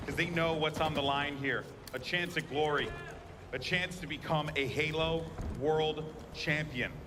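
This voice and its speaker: Fairly high-pitched male speech in a monotone, flat delivery, broken by long, frequent pauses, with audible room echo and noticeable background noise. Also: fairly slow pace. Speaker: esports caster. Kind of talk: live commentary. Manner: loud.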